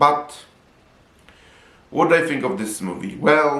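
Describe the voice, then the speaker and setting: A man with a Polish accent speaks with lively intonation. Audible room echo surrounds his voice. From Poland. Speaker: film reviewer. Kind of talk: video review.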